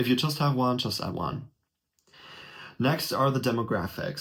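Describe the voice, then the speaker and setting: A man speaks at a medium pitch with a German accent. The background is quiet. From Germany. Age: 20s. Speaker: YouTuber. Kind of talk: tutorial. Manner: casual. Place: home room. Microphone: webcam.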